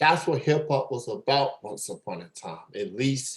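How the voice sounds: The voice carries a slightly husky edge and moves at a fairly slow pace. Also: man.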